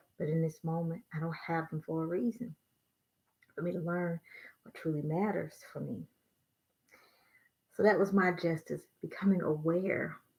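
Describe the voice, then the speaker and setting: Somewhat breathy and fairly low in pitch, a woman speaks at a moderate pace with fairly even intonation, big swings in loudness, and long, frequent pauses. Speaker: tarot reader. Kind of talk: tarot reading. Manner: soft-spoken.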